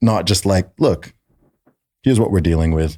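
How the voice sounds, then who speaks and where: Over a silent background in a very clean recording, a man speaks at a fairly quick pace with a very deep, low pitch and ordinary pitch variation. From Saudi Arabia. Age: 20s. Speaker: rapper and podcast host. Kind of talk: casual chat. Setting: studio. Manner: animated.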